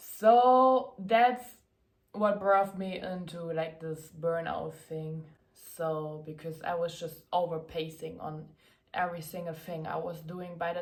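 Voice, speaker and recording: In a German accent, a woman speaks at a fairly slow pace and a fairly low pitch, with ordinary pitch variation, big swings in loudness and audible room echo. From Germany. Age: 20s. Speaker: content creator and athlete. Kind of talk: casual Q&A vlog.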